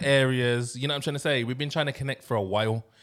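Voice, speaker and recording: The recording of a man talking is very clean, with a silent background. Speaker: podcast host. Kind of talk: casual banter podcast chat. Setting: studio. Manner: animated, slangy, excitable.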